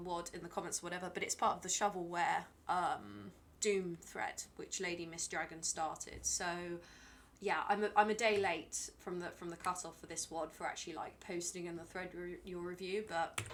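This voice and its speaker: The speech moves at a moderate pace with ordinary pitch variation. Loudness swings widely from moment to moment. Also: woman. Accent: British. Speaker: video game streamer. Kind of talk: casual live-stream commentary. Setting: live stream. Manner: chatty, hesitant with fillers.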